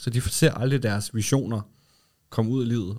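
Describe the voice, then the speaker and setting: Fairly even in intonation, a man speaks with a fairly low pitch and a dark, mellow tone. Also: very clean recording, silent background. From Denmark, Lolland. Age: 30s. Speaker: advertising agency co-founder. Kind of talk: casual interview. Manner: hesitant, many fillers.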